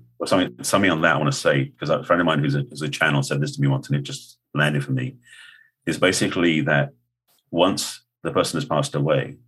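A man's very deep, low voice with vocal fry and an American accent, at a very fast pace with lively intonation. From England. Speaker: author and spiritual counselor. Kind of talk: interview.

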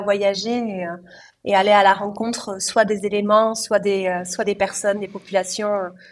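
Over a very clean recording with a silent background, a woman speaks at a moderate pace and medium pitch. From southwest France (Cahors, Lot). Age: 30s. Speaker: former elite swimmer and ocean paddler. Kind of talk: interview, personal storytelling. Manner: hesitant, many fillers.

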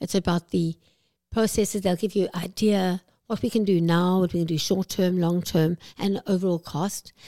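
A woman speaks in a South African accent at medium pitch. Her tone is dark and mellow, in a dry, close sound with no echo. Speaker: aesthetics clinic CEO. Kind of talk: interview.

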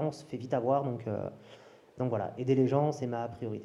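A man's dark, mellow voice at medium pitch and moderate pace. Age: 30s. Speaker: crypto and new tech coach, business owner. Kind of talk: casual chat. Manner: animated.

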